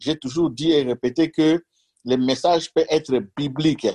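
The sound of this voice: In a dry, close sound with no echo, a man speaks at a moderate pace with fairly high pitch, a slightly mellow tone and fairly even intonation.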